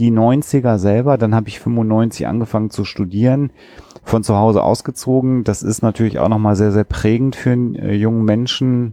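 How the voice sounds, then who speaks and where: In a dry, close recording with no echo, a man talks at a moderate pace in a dark, mellow tone. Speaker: podcast host, psychologist. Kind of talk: casual discussion.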